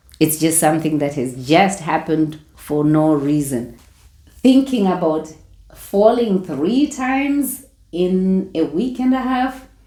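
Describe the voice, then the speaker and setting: Speaking at a very slow pace, a woman uses a fairly low pitch and a dark, mellow tone with very wide pitch swings, and audible room echo surrounds her voice. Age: 60s. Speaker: retiree lifestyle vlogger. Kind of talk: casual vlog talk to camera.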